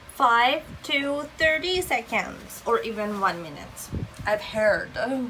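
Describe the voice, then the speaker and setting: A woman speaks very slowly at a high pitch. Audible room echo and noticeable background noise surround her voice. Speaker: beauty vlogger. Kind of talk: tutorial.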